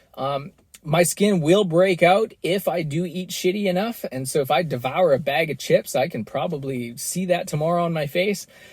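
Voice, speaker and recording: A man with a Canadian accent talks at a moderate pace. His pitch is high, with ordinary variation. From western Canada. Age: 30s. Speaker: podcast host. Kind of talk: solo podcast monologue. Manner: casual with many repetitions and fillers.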